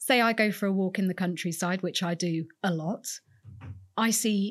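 Recorded very cleanly against a silent background, a woman speaks in a somewhat breathy voice. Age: 40s. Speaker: museum curator. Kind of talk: interview conversation.

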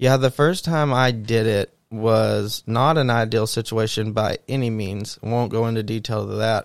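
In a very clean recording with a silent background, a normal speaking voice goes at a fairly slow pace with hardly any pauses and fairly even intonation. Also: man, medium pitch for a man. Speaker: podcast host. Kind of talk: casual chat.

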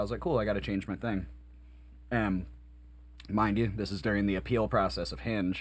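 A man's voice with vocal fry. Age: 30s. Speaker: podcast host and band musician. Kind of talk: casual chat.

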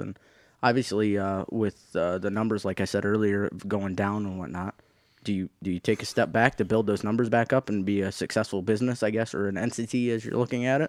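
With a plain, everyday voice, a man with an American accent speaks at a fairly quick pace with fairly low pitch and fairly even intonation, on a very clean recording with a silent background and a dry, close sound with no echo. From Michigan, Thumb region. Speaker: tractor puller. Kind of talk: casual chat. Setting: studio.

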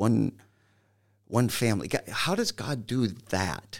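Over a very clean recording with a silent background, a man with an American accent speaks fairly slowly at a fairly low pitch. His intonation is lively, with vocal fry. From Michigan. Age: 60s. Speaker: pastor. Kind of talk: interview.

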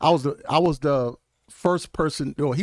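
On a very clean recording with a silent background and a dry, close sound with no echo, a man with a Mississippi accent talks at a moderate pace in an animated tone, his fairly high pitch showing ordinary variation. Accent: Southern US (Mississippi). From US South, Mississippi. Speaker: congressional candidate, pastor, former NFL player. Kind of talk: casual interview.

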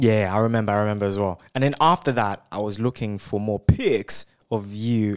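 On a very clean recording with a silent background, a man with an unremarkable speaking voice talks at a fairly quick pace and fairly low pitch with fairly even intonation, in a dry, close sound with no echo. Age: 20s. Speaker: podcast co-host, medical student. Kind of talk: casual chat.

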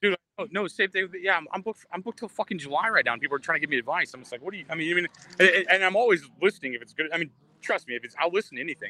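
A man talks very fast at a high pitch, with a bright, sharp tone, lively intonation and big swings in loudness, on a dry, close sound with no echo. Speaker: comedian. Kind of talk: stand-up and casual chat. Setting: Hawaii, remote live.

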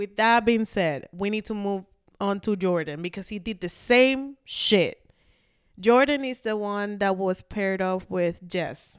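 Speaking at a fairly slow pace, a woman with a medium-pitched voice sounds animated, with ordinary pitch variation, on a very clean recording over a silent background. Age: 20s. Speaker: podcast co-host. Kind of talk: casual chat.

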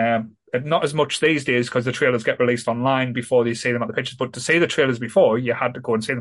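A man with a northern English accent, very fast pace and fairly even intonation. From northern England. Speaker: podcast host. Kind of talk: casual chat.

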